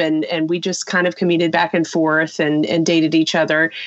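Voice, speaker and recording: A woman talks at a moderate pace in an ordinary speaking voice. Her pitch sits fairly low. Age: 40s. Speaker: business owner and spouse of a quadriplegic. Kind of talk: interview.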